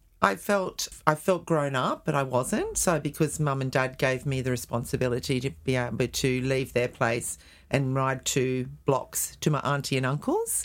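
An Australian accent marks this woman's very deep, low voice as she talks at a moderate pace with ordinary pitch variation on a very clean recording with a silent background. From Australia, northern beaches of Sydney, NSW. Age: 60s. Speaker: cancer survivor sharing life story. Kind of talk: interview.

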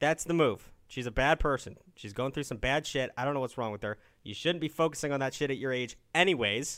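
A man with an American accent and an ordinary speaking voice, fairly high in pitch with ordinary pitch variation, at a fairly quick pace with hardly any pauses. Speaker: call-in advice show host. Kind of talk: casual call-in advice chat.

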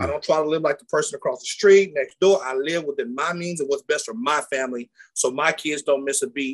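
With an unremarkable speaking voice, a man of fairly high pitch speaks at a fairly quick pace with hardly any pauses and ordinary pitch variation. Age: 40s. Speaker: former college athlete turned entrepreneur. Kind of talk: casual interview.

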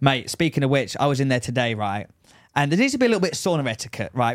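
The speaker has an English accent and lively intonation at a very fast pace. The recording is very clean, with a silent background. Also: man. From England. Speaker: podcast co-host. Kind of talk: casual chat.

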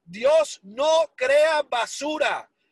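A man with an English accent speaks at an extremely high pitch, with a dry, close sound and no echo. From Miami, Florida (Hialeah), Cuban-born. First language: English (speaking Spanish). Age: 40s. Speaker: entrepreneur telling life story. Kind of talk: motivational testimony.

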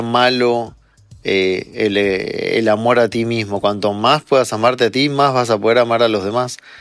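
Over background music, a man speaks fairly slowly in a medium pitch with fairly even intonation. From Argentina. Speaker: psychologist and meditation teacher. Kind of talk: interview.

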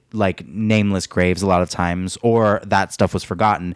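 A man talks at a moderate pace. He speaks with an American accent. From US, Mexican American. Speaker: podcast co-host. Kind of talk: casual chat. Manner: giggly, animated.

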